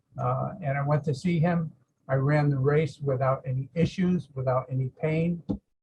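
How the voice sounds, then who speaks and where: A man with an American accent speaks in a fairly high pitch and sounds somewhat breathy. His pace is moderate and his intonation fairly even. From Massachusetts. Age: 70s. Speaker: patient giving a testimonial. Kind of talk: testimony. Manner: halting, many fillers.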